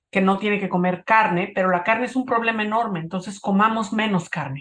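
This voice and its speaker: This is a normal speaking voice, and its pitch varies in an ordinary way. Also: woman. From Mexico, Cuernavaca. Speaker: photographer and conservationist. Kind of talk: interview.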